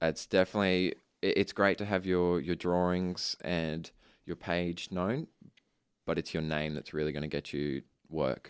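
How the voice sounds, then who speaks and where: A man with an Australian accent speaks at a moderate pace in a very deep, low pitch with fairly even intonation. The recording is very clean, with a silent background. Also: dry, close sound with no echo. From Australia, Ipswich, Queensland. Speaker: architecture student. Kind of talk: interview.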